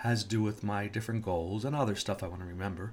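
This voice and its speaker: This man has an unremarkable speaking voice, pitched in the medium range and moving at a fairly quick pace. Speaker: safety professional and podcast host. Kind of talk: solo monologue podcast.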